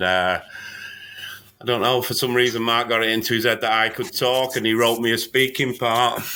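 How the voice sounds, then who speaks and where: A man talks at a moderate pace and a medium pitch. Noticeable background noise runs under his voice. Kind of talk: casual conversation.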